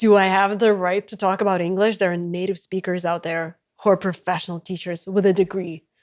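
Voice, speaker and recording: Speaking with a Russian accent, a woman at medium pitch keeps a fairly quick pace with hardly any pauses and monotone, flat intonation, in a very clean recording with a silent background and a dry, close sound with no echo. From Russia, Saint Petersburg. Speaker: content creator and entrepreneur. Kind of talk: interview conversation.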